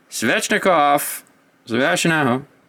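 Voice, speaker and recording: This man talks at a very slow pace. His intonation is lively. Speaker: hockey card box-opening YouTuber. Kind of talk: card unboxing commentary.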